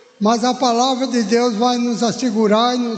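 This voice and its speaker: A man speaks very slowly in an extremely high pitch. Noticeable background noise and audible room echo fill the recording. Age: 80s+. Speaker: church elder, lay preacher. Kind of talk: sermon. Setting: church service.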